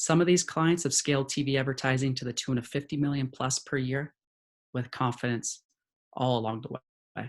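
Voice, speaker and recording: Medium pitch and fairly even intonation from a man at a moderate pace. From California. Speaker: head of sales at an ad-tech company. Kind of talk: webinar presentation.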